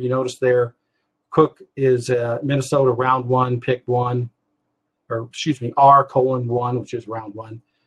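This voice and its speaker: A somewhat breathy man in a dry, close sound with no echo. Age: 60s. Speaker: fantasy football analyst. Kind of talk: webinar presentation. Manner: halting, many fillers.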